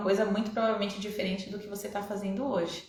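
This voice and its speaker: A woman speaks at a medium pitch. There is noticeable background noise and audible room echo. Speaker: online coach. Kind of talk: live online class. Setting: Instagram live stream.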